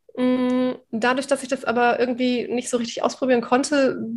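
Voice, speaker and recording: This woman talks at a moderate pace in a high voice. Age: 40s. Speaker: communication and quick-wit trainer. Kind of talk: interview.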